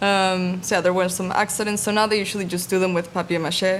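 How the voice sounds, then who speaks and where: A soft-spoken woman is talking. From Mexico. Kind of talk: interview answer.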